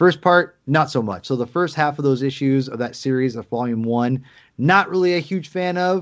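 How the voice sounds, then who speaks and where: This man speaks at a moderate pace in an unremarkable speaking voice, his fairly high pitch showing ordinary variation. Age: 30s. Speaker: podcast co-host. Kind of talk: casual chat.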